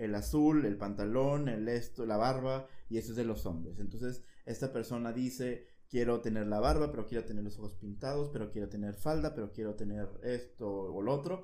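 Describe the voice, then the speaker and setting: A man with a Mexican accent speaks at a moderate pace in a medium pitch, with ordinary pitch variation and a dark, mellow tone. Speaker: podcast host. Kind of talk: casual chat.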